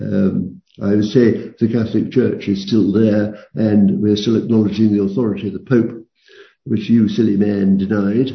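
Audible room echo surrounds a man whose fairly low, somewhat breathy voice stays in a monotone, flat intonation at a moderate pace. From London. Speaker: retired professor. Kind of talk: interview. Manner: halting.

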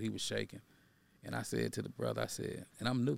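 A man talks at a fairly quick pace with an American accent. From Texas, East Dallas. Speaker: activist and author. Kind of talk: interview.

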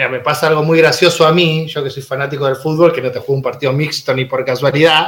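In a fairly high pitch with monotone, flat intonation, a man rattles along very fast with hardly any pauses over noticeable background noise. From Buenos Aires suburbs, Argentina. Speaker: teacher and union activist. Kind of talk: casual chat. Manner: halting, repeats words.

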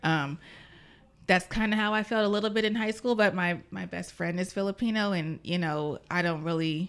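A woman's medium-pitched voice with a Californian accent, ordinary pitch variation and a moderate pace. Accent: Californian American. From Vallejo, California. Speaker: school educational technology specialist. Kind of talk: interview. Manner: hesitant, many fillers.

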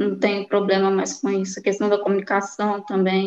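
The delivery is monotone, with flat intonation. The sound is dry and close, with no echo. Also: woman. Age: 30s. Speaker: mining professional. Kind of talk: testimony.

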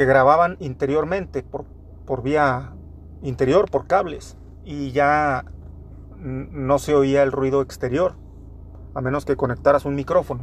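Long, frequent pauses break up fairly slow speech with ordinary pitch variation. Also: man, fairly high pitch for a man. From Torreón, Coahuila, northern Mexico. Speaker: podcaster. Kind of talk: casual monologue.

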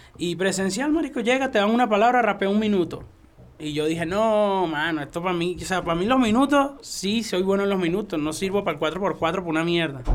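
The speaker's intonation is lively and the pace fairly quick. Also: man, high pitch for a man. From Venezuela. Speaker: freestyle rapper. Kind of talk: casual chat.

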